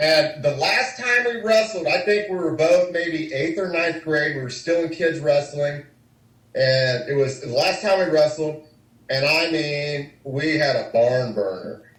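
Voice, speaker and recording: A man with an American accent and a fairly high pitch speaks at a fairly slow pace with lively intonation, in audible room echo. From US Midwest, Kansas City. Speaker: former wrestler. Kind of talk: interview.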